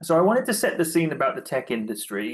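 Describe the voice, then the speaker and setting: Here is a man with a British accent whose pitch swings very widely. The background is quiet. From UK. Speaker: tech executive, speaker. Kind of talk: presentation talk.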